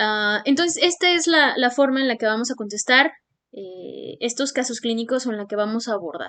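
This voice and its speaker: Her pitch swings very widely. The woman talks fairly quickly. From Mexico. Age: 20s. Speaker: medical student and YouTuber. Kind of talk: tutorial. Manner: hesitant, many fillers.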